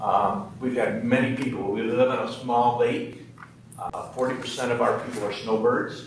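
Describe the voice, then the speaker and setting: A man's medium-pitched voice with fairly even intonation, noticeable background noise and audible room echo. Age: 60s. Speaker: business owner applying for liquor license. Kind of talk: testimony at licensing hearing. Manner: halting, many fillers.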